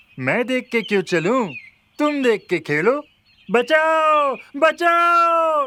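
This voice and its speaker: A cartoonish character voice, high-pitched, at a very slow pace with long, frequent pauses. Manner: boastful, mocking.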